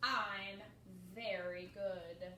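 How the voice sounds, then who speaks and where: A woman puts on a character voice at medium pitch. Her tone is confident, with a slight echo. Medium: read story. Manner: confident, boastful.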